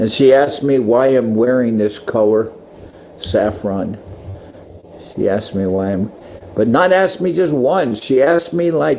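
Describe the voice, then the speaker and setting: Noticeable background noise runs under a man's medium-pitched voice. He swings his pitch very widely and leaves long, frequent pauses. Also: moderate pace. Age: 70s. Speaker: monk and spiritual teacher. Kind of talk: casual talk to devotees. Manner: halting.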